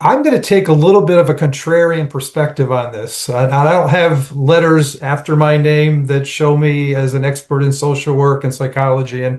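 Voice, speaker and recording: A man with an American accent talks at a moderate pace with hardly any pauses, somewhat breathy. His pitch is fairly high and his intonation fairly even. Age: 60s. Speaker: nonprofit and public policy professional. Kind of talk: panel discussion. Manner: halting.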